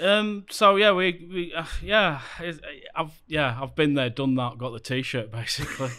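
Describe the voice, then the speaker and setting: A man speaks in a Lancashire accent with a bright, sharp tone and fairly high pitch. His pace is fairly slow, and his intonation is lively. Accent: Lancashire northern English. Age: 40s. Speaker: theme park YouTuber. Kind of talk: casual chat.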